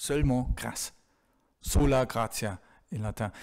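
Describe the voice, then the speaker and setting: With a German accent, a man speaks at a very slow pace in a medium pitch with ordinary pitch variation. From Germany. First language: German (speaking French). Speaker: theology professor. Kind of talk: Q&A after lecture. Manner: halting, many hesitations.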